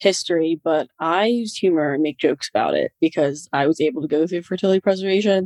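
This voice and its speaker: A woman with a plain, everyday voice and a fairly low pitch speaks at a moderate pace with fairly even intonation, in a dry, close sound with no echo. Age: 20s. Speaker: young adult cancer survivor. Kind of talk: casual chat.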